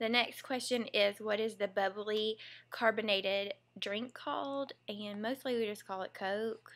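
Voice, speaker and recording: She has a Southern US accent and a fairly high pitch. The woman's intonation stays fairly even. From US South. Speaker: vlogger, former teacher. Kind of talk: casual vlog, reading word list aloud. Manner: casual, chatty.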